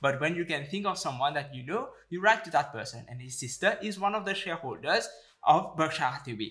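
Against a quiet background, a man talks at a fairly quick pace in a bright, sharp tone with lively intonation. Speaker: investing YouTuber. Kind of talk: educational commentary to camera. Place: home room.

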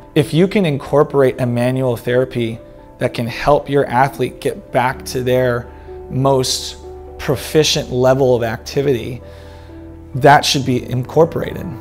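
A man with an American accent at a moderate pace, ordinary pitch variation, faint music in the background. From Texas, San Antonio; Texas. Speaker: sports medicine doctor. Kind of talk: self-introduction. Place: studio. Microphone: lapel.

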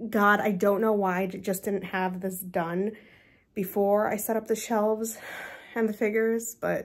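A woman speaks at a fairly slow pace. Her intonation is monotone and flat. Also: quiet background. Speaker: collector vlogger. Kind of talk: casual vlog chat. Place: home room. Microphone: phone near.

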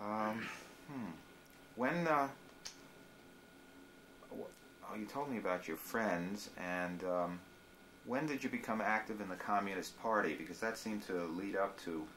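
A man talks at a fairly slow pace with fairly low pitch, lively intonation, and long, frequent pauses. Light background noise is present. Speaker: interviewer. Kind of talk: interview questions. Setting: living room. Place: home room. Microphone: old recording.

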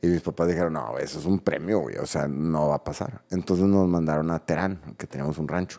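A man with a very deep, low pitch talks at a fairly quick pace with ordinary pitch variation. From Mexico. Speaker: podcast co-host. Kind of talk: casual chat. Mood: relaxed, storytelling. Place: studio. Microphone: studio mic.

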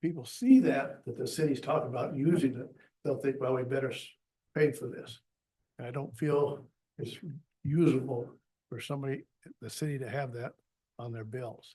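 With a dark, mellow, somewhat breathy tone and fairly high pitch, a man speaks at a moderate pace with fairly even intonation, long and frequent pauses, big swings in loudness and audible room echo. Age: 80s+. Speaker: retired plumber, public commenter. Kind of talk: public comment at council meeting.

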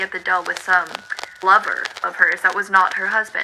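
There is noticeable background noise. A woman is speaking over it. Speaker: vlogger. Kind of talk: history storytelling to camera. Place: home room.

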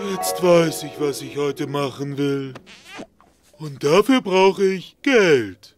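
Very wide pitch swings over faint music in the background. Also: man, fairly high pitch for a man, fairly slow pace, big swings in loudness. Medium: audio drama. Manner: simple, childish, excitable.

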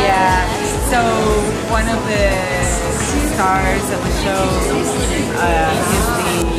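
A woman speaks at a very slow pace. Loud music plays in the background. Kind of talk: interview answer. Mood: warm and friendly. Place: bar.

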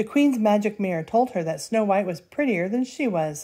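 Lively intonation in an unforced reading voice

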